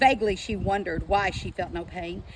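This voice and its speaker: Speaking at a moderate pace, a woman talks with an Appalachian accent. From southeastern Kentucky. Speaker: author and teacher. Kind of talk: book reading aloud.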